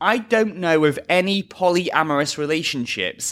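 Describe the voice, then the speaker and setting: Pitch swings very widely in a British accent, and the tone is bright and sharp. The recording is very clean, with a silent background. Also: man. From England; Liverpool. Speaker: podcast host. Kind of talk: casual chat.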